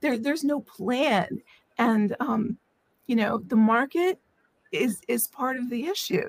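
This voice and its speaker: Lively intonation marks this woman's fairly high voice, spoken with an American accent. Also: dry, close sound with no echo. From Washington D.C. area. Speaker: author and nuclear engineer. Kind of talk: casual interview. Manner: halting, with many fillers.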